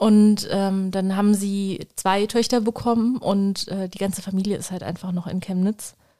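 A woman with a medium-pitched voice and a dark, mellow tone speaks at a moderate pace in a monotone, flat delivery, barely pausing at all. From Germany. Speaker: bookshop owner. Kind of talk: casual chat.

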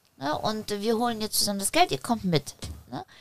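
A woman with an unremarkable speaking voice talks at a medium pitch and a moderate pace, her intonation lively. The recording is very clean, with a silent background. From Poland, raised in Germany from age six. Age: 30s. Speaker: former drug user, entrepreneur. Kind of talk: casual interview chat.

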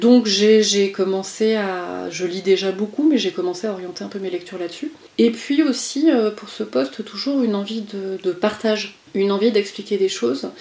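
Lively intonation and big swings in loudness mark the speech, delivered at a moderate pace. Noticeable background noise runs underneath. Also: woman, medium pitch for a woman. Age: 40s. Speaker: coach and HR consultant. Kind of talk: interview conversation. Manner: halting with repetitions.

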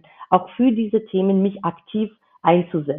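Speaking fairly slowly, a woman has a medium pitch and a Georgian accent. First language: Georgian (speaking German). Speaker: intercultural business founding consultant. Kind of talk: interview. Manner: halting, many filler sounds.

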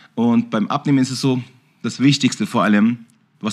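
Words come at a very fast pace. The speaker is a man. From Bavaria, Germany. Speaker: kickboxing champion and gym owner. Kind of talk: casual chat.

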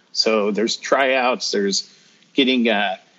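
A man's normal speaking voice in a General American accent, medium in pitch, with ordinary pitch variation. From northern Colorado. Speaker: retired army sergeant. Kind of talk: casual interview.

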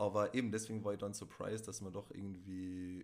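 A man with a fairly low pitch talks at a moderate pace in a Tyrolean accent. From Tyrol, Austria. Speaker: podcast guest, host's ex. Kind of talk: casual chat.

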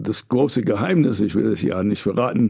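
A man with an American accent, lively intonation, a moderate pace and a dark, mellow tone. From New York, US. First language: English (speaking German). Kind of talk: interview conversation. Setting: studio.

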